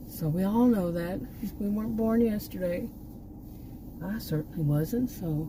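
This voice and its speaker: With an American accent and a medium pitch, a woman speaks with ordinary pitch variation and long, frequent pauses, amid audible room echo and noticeable background noise. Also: fairly slow pace. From Texas. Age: 60s. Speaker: YouTube vlogger, former college teacher. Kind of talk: casual vlog monologue. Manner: halting, many restarts.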